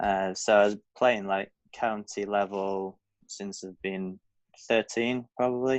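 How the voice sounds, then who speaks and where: A man speaks with a Lancashire accent. The sound is dry and close, with no echo. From northern England, Blackpool. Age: 20s. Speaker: professional golfer. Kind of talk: podcast interview. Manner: casual, hesitant with fillers.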